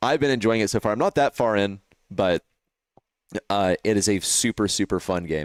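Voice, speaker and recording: Recorded dry and close with no echo, a man with an American accent speaks in an animated tone at a moderate pace, fairly low in pitch with ordinary pitch variation, very even loudness and long, frequent pauses. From Texas. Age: 20s. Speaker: esports caster and streamer. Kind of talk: casual live stream chat. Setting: live stream with headset mic.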